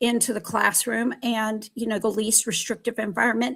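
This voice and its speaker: Recorded very cleanly against a silent background, a woman talks at a fairly high pitch with vocal fry. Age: 60s. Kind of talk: panel discussion. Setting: live stream.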